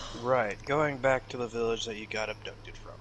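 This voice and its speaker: At a fairly quick pace, a man puts on a character voice at medium pitch over clear background noise. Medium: actual play. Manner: terse, matter-of-fact.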